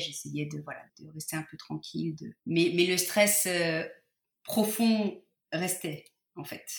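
Very slow and fairly low in pitch, a woman's voice shows big swings in loudness and long, frequent pauses. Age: 40s. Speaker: patient sharing fertility story. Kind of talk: testimony. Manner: halting, many hesitations.

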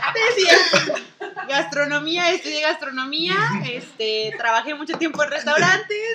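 Over noticeable background noise, a woman projects a raised, high voice with lively intonation at a fairly slow pace. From northern Mexico, Durango. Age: 20s. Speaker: chef. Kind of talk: casual chat.

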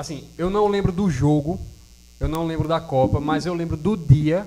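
At a fairly slow pace, an unremarkable speaking voice shows ordinary pitch variation. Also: man. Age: 20s. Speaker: podcast co-host, musician. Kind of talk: casual chat.

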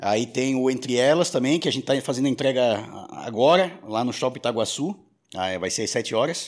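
A man uses a normal speaking voice at a medium pitch with lively intonation. The recording is very clean, with a silent background. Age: 40s. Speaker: radio and podcast producer. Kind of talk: casual chat.

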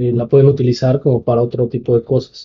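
A man speaks at medium pitch with fairly even intonation. His voice is somewhat breathy. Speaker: film podcast co-host. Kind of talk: casual chat.

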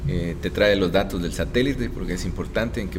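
A man with a very deep, low voice talks very fast, with audible room echo and noticeable background noise. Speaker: astrophysicist and university professor. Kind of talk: interview.

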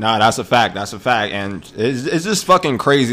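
Someone with a New York accent talks at a very fast pace in an animated tone. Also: man. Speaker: podcast host. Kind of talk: casual banter. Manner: profane, animated.

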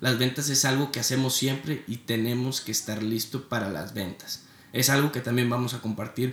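In a plain, everyday voice, a man holds a medium pitch and fairly even intonation. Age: 20s. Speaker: podcast host, student entrepreneur. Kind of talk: motivational podcast intro monologue.

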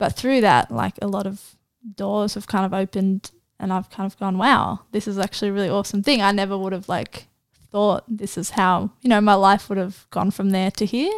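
On a very clean recording with a silent background, a woman talks with an Australian accent. Her medium-pitched voice moves at a fairly quick pace with fairly even intonation. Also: dry, close sound with no echo. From Australia, Central Coast NSW. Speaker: university student and poet. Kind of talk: casual interview.

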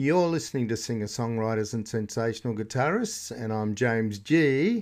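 A man talks at a moderate pace in an ordinary speaking voice of medium pitch, with ordinary pitch variation. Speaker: radio host. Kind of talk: comic radio DJ patter: chatty music-show links, running gags and dad jokes between tracks. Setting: radio studio.

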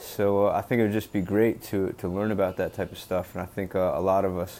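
A man's fairly low, dark, mellow voice with a Mid-Atlantic US accent, monotone, flat intonation, and a moderate pace. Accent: American Mid-Atlantic. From US, Delaware. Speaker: podcast host, former wrestler. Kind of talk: solo podcast monologue. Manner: halting, many fillers.

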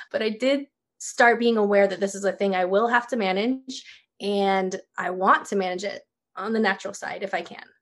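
At a moderate pace, a woman with an American accent speaks at medium pitch with fairly even intonation. Hers is a plain, everyday voice. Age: 30s. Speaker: small business owner. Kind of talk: casual interview.

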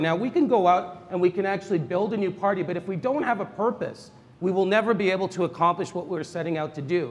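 A man with a Canadian accent speaks at a very fast pace. His pitch is high. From Toronto, Canada. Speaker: politician. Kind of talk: political debate. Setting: stage with audience.

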